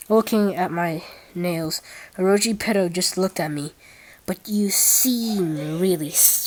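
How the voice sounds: The pitch moves in an ordinary way. It belongs to a natural reading voice.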